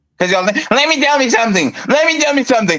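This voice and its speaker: A man at an extremely high pitch and fairly quick pace, amid noticeable background noise. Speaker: podcast host. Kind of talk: heated debate. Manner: interrupting, talks over others.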